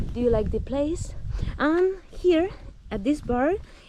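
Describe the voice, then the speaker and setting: A woman speaks at a fairly slow pace in a Spanish accent. Her intonation is lively. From Spain, Cartagena. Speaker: mountain biker vlogger. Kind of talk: casual vlog narration. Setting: outdoors on a bike. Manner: halting.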